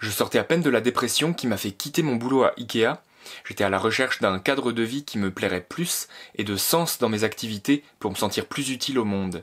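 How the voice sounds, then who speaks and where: In an enthusiastic tone, a man speaks at a fairly quick pace with ordinary pitch variation against a quiet background. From France, Alsace; France. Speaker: YouTuber, graphic designer living on a farm; YouTuber. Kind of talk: vlog Q&A monologue. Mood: calm, reflective. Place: home room.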